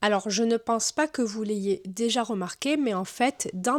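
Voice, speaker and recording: Here a woman talks in a normal speaking voice at a fairly high pitch. She goes at a fairly slow pace with ordinary pitch variation. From southern France. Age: 30s. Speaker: book YouTuber. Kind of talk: casual talk to camera.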